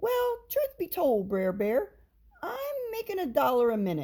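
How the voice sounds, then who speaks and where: A woman does a put-on character voice at a high pitch. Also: moderate pace. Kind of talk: Southern folktale storytelling. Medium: read story. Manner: sly, persuasive.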